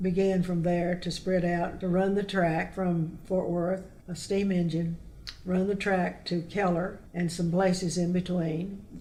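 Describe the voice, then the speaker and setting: A woman with a fairly low pitch speaks at a very slow pace, monotone and flat, her loudness very even over noticeable background noise. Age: 80s+. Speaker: local author and historian. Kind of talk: interview answer, oral history storytelling.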